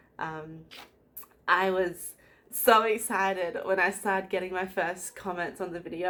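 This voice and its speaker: A woman is heard over noticeable background noise. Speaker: crafting video host. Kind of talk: casual vlog chat. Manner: hesitant with many fillers.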